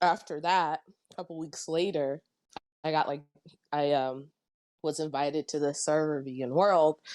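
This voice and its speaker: In a very clean recording with a silent background, a woman speaks at a very deep, low pitch with fairly even intonation. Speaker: farmer in online debate. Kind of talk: casual chat. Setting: voice chat.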